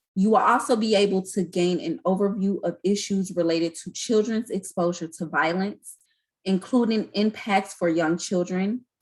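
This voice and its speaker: With a medium pitch and a somewhat breathy voice, a woman speaks at a moderate pace with ordinary pitch variation. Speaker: community educator. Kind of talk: online training presentation.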